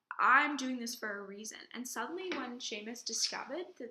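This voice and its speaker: A raised, projected voice with a bright, sharp tone moves at a moderate pace through very wide pitch swings. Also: woman. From England. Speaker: drama student. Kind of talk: personal video reflection.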